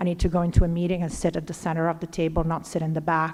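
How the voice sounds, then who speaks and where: With an Italian accent, a woman speaks in a fairly low voice. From Italy, Lombardy. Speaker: finance executive. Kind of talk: interview at a leadership event. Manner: animated.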